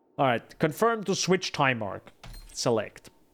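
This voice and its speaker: With a non-native accent, a man speaks in very wide pitch swings. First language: not English. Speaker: game streamer. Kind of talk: live gameplay commentary. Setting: live stream. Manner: animated.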